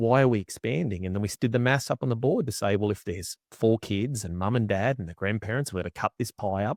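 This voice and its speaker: With an Australian accent, a man talks very fast with hardly any pauses in a fairly low voice with ordinary pitch variation, recorded dry and close with no echo over a quiet background. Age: 40s. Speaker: agriculture strategic coach. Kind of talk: casual interview chat.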